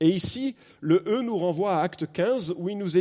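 A man speaks at a fairly slow pace with a high pitch and a dark, mellow tone. His pitch swings very widely. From France. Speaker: pastor. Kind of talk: sermon. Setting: church. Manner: animated.

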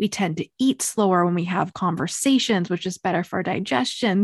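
Against a quiet background with a dry, close sound with no echo, a woman uses an unremarkable speaking voice at medium pitch, ordinary pitch variation, and a moderate pace. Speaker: podcast host. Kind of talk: casual interview.

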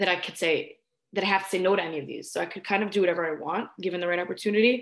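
A woman with an American accent talks at a very fast pace, her intonation fairly even. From New York. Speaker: sports host and college student. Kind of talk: casual interview chat.

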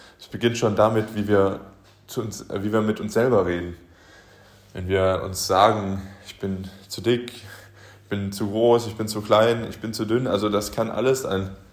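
In a room with audible echo, a man talks fairly slowly with a fairly low pitch and fairly even intonation. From Germany, Aachen. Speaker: podcast host, motivational speaker. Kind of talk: motivational monologue.

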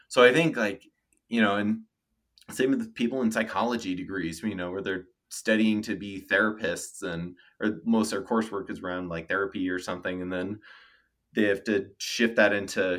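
A man's fairly low-pitched, plain, everyday voice with an American accent, fairly even intonation and moderate pace, on a very clean recording with a silent background. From Denver, Colorado, US. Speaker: UX designer. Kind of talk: interview. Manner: casual, many fillers.

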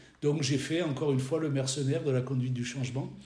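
In a room with audible echo, a man speaks at a medium pitch with fairly even intonation. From French Riviera, southern France. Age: 60s. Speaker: business trainer and consultant. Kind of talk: interview.

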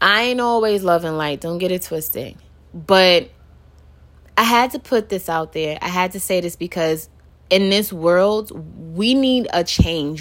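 A woman with an animated tone, ordinary pitch variation and a fairly slow pace. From Brooklyn, New York City. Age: 30s. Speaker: podcast host. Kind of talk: casual monologue.

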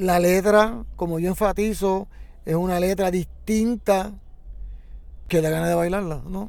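A man speaks at a fairly slow pace in a high voice, with monotone, flat intonation and long, frequent pauses. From Puerto Rico, Santurce. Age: 70s. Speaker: plena musician. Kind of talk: interview.

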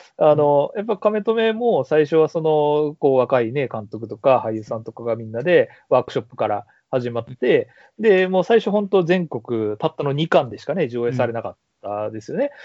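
This man's fairly high voice rises and falls very widely in pitch, with big swings in loudness. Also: moderate pace. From Kansai, Nara city. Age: 30s. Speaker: university professor. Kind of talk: casual interview. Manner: laughs often.

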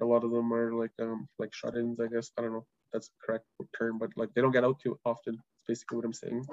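A man is speaking in a medium pitch. The sound is dry and close, with no echo. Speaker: language program manager. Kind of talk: casual interview.

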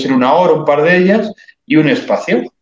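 A man speaks with vocal fry. His intonation is lively. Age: 30s. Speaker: writer and cultural commentator. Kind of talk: interview.

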